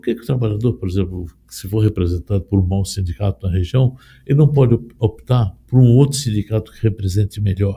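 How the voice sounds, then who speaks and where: At a fairly quick pace, a man speaks with a fairly low pitch, a dark, mellow tone and a somewhat breathy quality, ordinary pitch variation and big swings in loudness. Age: 60s. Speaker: union leader. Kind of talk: interview. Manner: halting.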